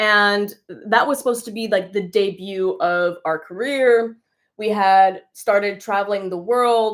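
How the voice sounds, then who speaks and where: In a General American accent, a normal speaking voice moves at a fairly slow pace with fairly even intonation, on a very clean recording with a silent background. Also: woman. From California. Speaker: dancer. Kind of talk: casual chat. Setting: livestream.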